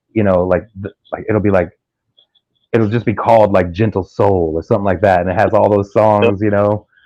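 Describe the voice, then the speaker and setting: This man speaks with an American accent, fairly low in pitch and dark and mellow in tone. His intonation is monotone and flat, and his pace is fairly quick. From US Midwest, Kansas City. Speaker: live stream host. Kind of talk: casual chat.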